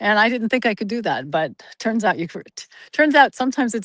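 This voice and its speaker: A woman with a General American accent talks at a fairly quick pace in an ordinary speaking voice, with ordinary pitch variation and a dry, close sound with no echo against a quiet background. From US Pacific Northwest (Oregon). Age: 60s. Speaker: interview guest. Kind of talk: casual interview chat. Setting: outdoors on a forest trail, video call.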